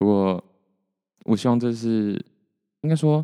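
A man's dark, mellow tone against a quiet background. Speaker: solo podcaster. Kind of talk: casual solo monologue. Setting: home recording with mixer, solo. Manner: soft, not loud.

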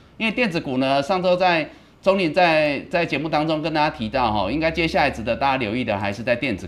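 At a very fast pace, a man with a fairly high pitch talks with vocal fry and lively intonation. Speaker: stock market show host, analyst. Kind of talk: live market commentary.

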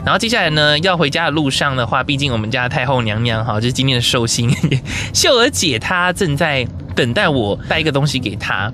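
With noticeable background noise and audible room echo, a man talks fairly quickly at a medium pitch. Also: lively intonation, very even loudness. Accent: Taiwanese. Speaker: podcast host. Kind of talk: casual vlog-style narration. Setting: mobile on-location recording; in a car.

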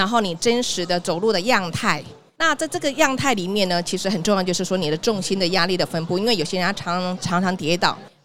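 With a Taiwanese accent, a woman talks at a fairly quick pace with ordinary pitch variation. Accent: Taiwanese Mandarin. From Taiwan, Tainan. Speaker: sales director at a health tech company. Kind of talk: live podcast interview. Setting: live podcast at an exhibition hall booth.

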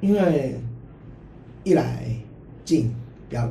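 A man talks at a fairly slow pace in a medium pitch. Audible room echo surrounds his voice. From Hong Kong. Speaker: university football player. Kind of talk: casual interview. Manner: halting, many repeated words.

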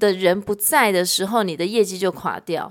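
A female voice on a very clean recording, the background silent. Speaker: sales executive. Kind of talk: casual chat.

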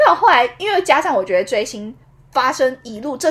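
Her voice high and animated, a woman talks at a fairly quick pace with very wide pitch swings. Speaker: podcast co-host. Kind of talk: casual chat. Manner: animated, frequent laughter.

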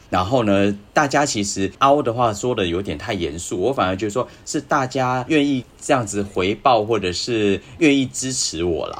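Here a man with a plain, everyday voice speaks at a medium pitch and a moderate pace, his intonation lively. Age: 40s. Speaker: astrology podcast guest. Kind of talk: casual chat.

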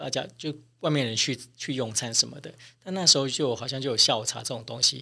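A man speaks at a fairly quick pace in a medium pitch, with ordinary pitch variation, big swings in loudness and vocal fry. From Taiwan. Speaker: flight attendant, cabin chief. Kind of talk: interview.

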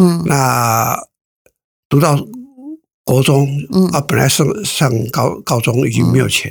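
Loudness swings widely as a man talks at a very slow pace. Long pauses come often. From rural Taiwan. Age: 70s. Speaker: company founder. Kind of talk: interview. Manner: halting.

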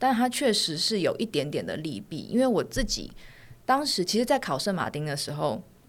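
On a very clean recording with a silent background, a woman speaks at a moderate pace and a medium pitch, with vocal fry and very wide pitch swings. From Taiwan. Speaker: fashion designer and author. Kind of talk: casual interview. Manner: soft-spoken.

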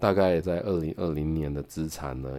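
In a Taiwanese accent, a man with a very deep, low pitch talks at a moderate pace with fairly even intonation. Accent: Taiwanese Mandarin. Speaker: podcast host reviewing books. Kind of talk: book review monologue. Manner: casual, with many filler particles.

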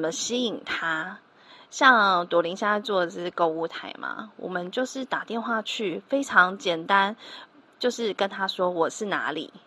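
In a Taiwanese accent, a woman speaks with a bright, sharp tone, lively intonation and a fairly slow pace against a quiet background. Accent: Taiwanese Mandarin. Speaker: telemarketing trainer and podcast host. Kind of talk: solo podcast tutorial.

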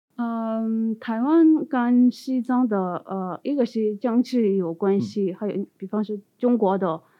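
Speaking at a very slow pace with hardly any pauses, a woman with a Tibetan accent uses a fairly high pitch and ordinary pitch variation. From Tibetan exile community in India. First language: Tibetan (speaking Chinese). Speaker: postdoctoral researcher. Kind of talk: interview. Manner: halting.

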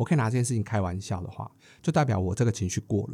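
Very fast and somewhat breathy, a man talks at medium pitch in a dark, mellow tone on a very clean recording with a silent background. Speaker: podcast co-host. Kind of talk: casual chat.

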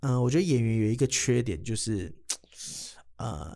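Speaking with a Taiwanese accent, a man keeps a moderate pace and a medium pitch with lively intonation. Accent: Taiwanese Mandarin. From Taiwan, Kaohsiung. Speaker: comedian. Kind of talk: casual chat.

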